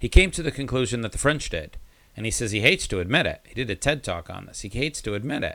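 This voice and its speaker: A man at a very fast pace, bright and sharp in tone with vocal fry, very wide pitch swings and big swings in loudness, on a very clean recording with a silent background. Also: medium pitch for a man. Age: 50s. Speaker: podcast host. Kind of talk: interview.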